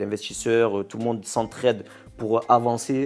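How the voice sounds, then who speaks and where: A man speaks at a moderate pace with a Marseille accent. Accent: Marseille accent, sing-song. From Marseille, southern France. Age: 20s. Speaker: YouTuber, cross-border worker. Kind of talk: interview. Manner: hesitant, many fillers and repetitions.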